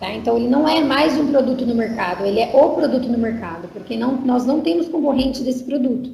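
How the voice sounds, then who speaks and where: A woman's high-pitched voice at a fairly quick pace, with ordinary pitch variation, hardly any pauses, audible room echo and noticeable background noise. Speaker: marketing staff presenter. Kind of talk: online sales presentation. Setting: online conference.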